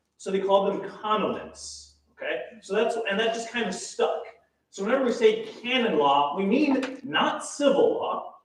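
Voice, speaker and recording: A loud man with a high voice talks at a moderate pace with lively intonation, and the room echo is audible. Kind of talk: lecture.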